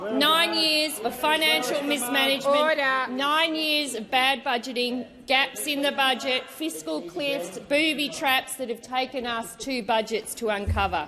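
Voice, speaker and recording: Over noticeable background noise, a woman uses a raised, projected voice at a fairly slow pace. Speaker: government minister. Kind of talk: parliamentary answer. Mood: combative, pointed. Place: hall. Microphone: podium.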